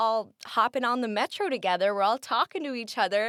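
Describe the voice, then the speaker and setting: A loud woman's voice in a Midwestern American accent, bright and sharp in tone with lively intonation, on a very clean recording with a silent background. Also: dry, close sound with no echo. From US Midwest. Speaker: college student. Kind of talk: casual interview. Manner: loud, expressive.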